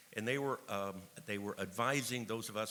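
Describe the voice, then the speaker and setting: A man with an American accent, a bright, sharp tone, ordinary pitch variation, and a fairly quick pace. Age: 70s. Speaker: attorney and activist speaker. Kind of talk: conference speech.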